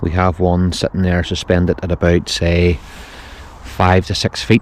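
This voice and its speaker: Very deep and low in pitch, a man with a Northern Irish accent speaks at a fairly slow pace in a monotone, flat intonation. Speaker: fishing video host. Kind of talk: outdoor fishing vlog narration. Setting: outdoors on a boat on a lake. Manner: quiet, hushed.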